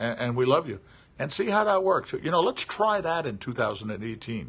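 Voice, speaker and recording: Delivered at a moderate pace, the speech shows very wide pitch swings. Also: man. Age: 60s. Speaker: livestreamer. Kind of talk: casual monologue. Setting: live stream. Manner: halting.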